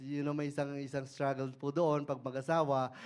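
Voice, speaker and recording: The man's pitch is fairly high. His intonation is monotone and flat. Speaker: lay preacher. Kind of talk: sermon. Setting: church service. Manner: halting, with repeated syllables.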